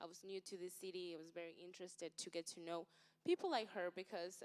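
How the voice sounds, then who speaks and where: A woman's medium-pitched voice holds a monotone, flat intonation at a moderate speed. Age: young. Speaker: social media influencer and entrepreneur. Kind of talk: panel talk.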